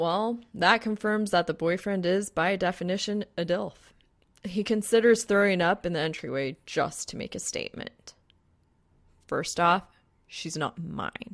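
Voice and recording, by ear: With ordinary pitch variation, a woman talks at a fairly slow pace in a fairly low pitch.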